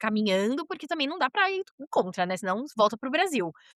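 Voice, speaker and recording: A woman speaks in a São Paulo accent with a bright, sharp, animated tone. Her pitch swings very widely. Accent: Brazilian Portuguese, São Paulo (paulista). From Brazil, São Paulo. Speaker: podcast guest, journalist and mother. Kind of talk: casual interview conversation. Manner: animated, fluent with frequent fillers.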